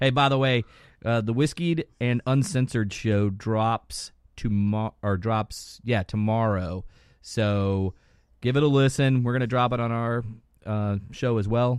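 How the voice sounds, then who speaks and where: This man has a normal speaking voice at a medium pitch. He moves at a fairly slow pace with ordinary pitch variation. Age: 50s. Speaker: podcast co-host. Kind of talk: casual chat.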